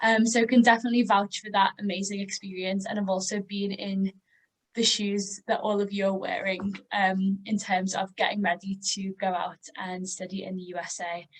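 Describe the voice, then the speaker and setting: Monotone, flat intonation in an American accent. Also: woman, medium pitch for a woman, moderate pace. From northern England, Liverpool. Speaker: educational advisor. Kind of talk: webinar introduction.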